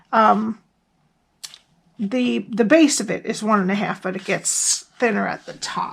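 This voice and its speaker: In a put-on character voice, a woman speaks with a raspy, fairly high pitch at a moderate pace. Her loudness swings widely, and she takes long, frequent pauses. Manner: stuttering, hesitant.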